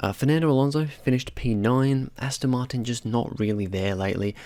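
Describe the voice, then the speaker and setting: Talking at a fairly quick pace, a man with a medium-pitched voice comes through on a very clean recording with a silent background. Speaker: F1 commentary YouTuber. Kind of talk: casual solo commentary video. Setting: home recording late evening. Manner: quieter than usual; low energy, hesitant with fillers.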